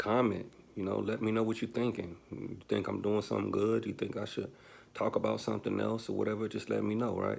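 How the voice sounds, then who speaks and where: A man speaks in a fairly low pitch. His intonation is monotone and flat. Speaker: YouTube personal finance vlogger. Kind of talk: casual advice monologue. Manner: fast; halting, many fillers and restarts.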